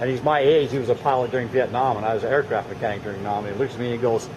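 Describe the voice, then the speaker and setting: Noticeable background noise under a man's medium-pitched voice with fairly even intonation. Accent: American. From Arizona, Scottsdale. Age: 60s. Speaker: amateur video maker, Navy veteran. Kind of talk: casual chat, filming narration. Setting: outdoors.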